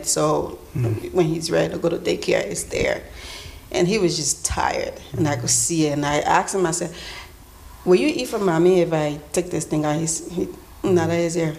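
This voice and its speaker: Over noticeable background noise, a woman speaks fairly quickly with a fairly low pitch. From Liberia. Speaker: church member. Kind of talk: testimony. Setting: stage with live audience.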